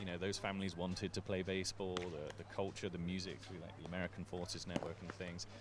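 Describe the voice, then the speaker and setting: A man with an English accent talks at a very fast pace. His pitch is very deep and low. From England. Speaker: sports commentator. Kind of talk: live commentary and casual chat. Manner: casual, conversational.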